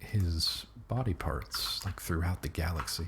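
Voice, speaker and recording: Soft-spoken and very slow, the speaker uses lively intonation. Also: man. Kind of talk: casual talk to camera.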